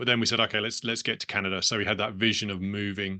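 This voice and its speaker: Very fast speech in a British accent comes with a bright, sharp tone and fairly even intonation. The background is quiet. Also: man. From England, London. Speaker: business owner. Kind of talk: interview conversation.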